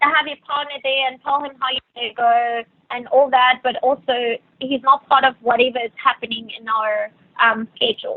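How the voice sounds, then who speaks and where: A woman in a South African accent, high-pitched, at a moderate pace, with fairly even intonation and big swings in loudness. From Venezuela. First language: Spanish. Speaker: yacht stewardess. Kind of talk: podcast interview. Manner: hesitant, many fillers.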